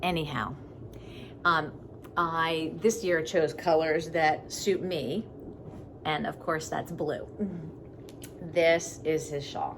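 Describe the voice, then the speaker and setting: In a room with audible echo, a woman speaks very slowly, leaving long, frequent pauses. Her pitch is fairly low and her intonation fairly even. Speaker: knitting podcaster. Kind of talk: casual video podcast monologue.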